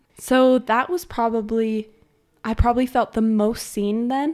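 In a very clean recording with a silent background, a woman with an American accent speaks fairly slowly at a fairly high pitch in a plain, everyday voice. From Utah. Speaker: podcast guest. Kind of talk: interview.

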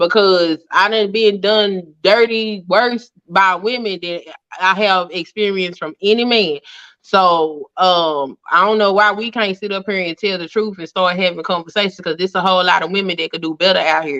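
At a moderate pace, a woman talks in an unremarkable speaking voice, medium in pitch with fairly even intonation. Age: 40s. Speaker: YouTuber and hoodoo practitioner. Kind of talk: casual chat.

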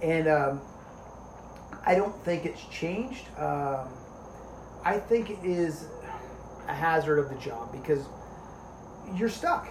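This man speaks with an American accent at a very slow pace, with long, frequent pauses, lively intonation and a high pitch, over noticeable background noise. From New Jersey. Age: 40s. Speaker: police officer. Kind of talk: casual chat.

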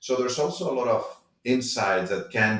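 A man is speaking. Audible room echo is present. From Spain. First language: Spanish. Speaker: tech startup founder. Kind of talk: interview.

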